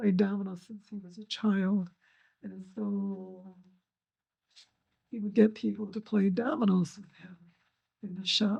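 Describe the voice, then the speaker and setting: A woman talks slowly in a somewhat breathy, medium-pitched voice with fairly even intonation. Her loudness swings widely, and she takes long, frequent pauses. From Kalamazoo, Michigan. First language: German. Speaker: second-generation Holocaust survivor. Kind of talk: interview testimony.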